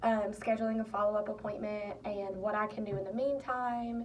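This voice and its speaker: Noticeable background noise accompanies a woman speaking at a moderate pace. Her pitch is fairly high. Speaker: student. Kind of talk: personal reflection monologue.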